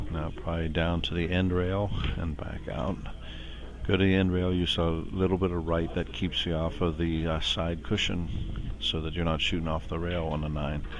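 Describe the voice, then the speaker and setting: Audible room echo surrounds a man whose very deep, low pitch moves with ordinary variation at a moderate pace. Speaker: pool commentator. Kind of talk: live commentary. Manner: soft-spoken. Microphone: too quiet.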